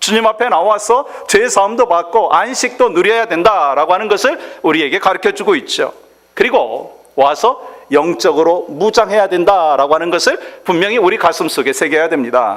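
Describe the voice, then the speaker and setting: A man with a high pitch, lively intonation, a moderate pace and very even loudness. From South Korea, Chungcheong. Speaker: pastor. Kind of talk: sermon.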